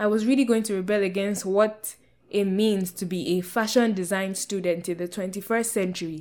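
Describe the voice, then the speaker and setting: A woman speaks with a Nigerian accent and fairly even intonation. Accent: Nigerian (Yoruba) English. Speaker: podcast host. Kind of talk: personal monologue podcast.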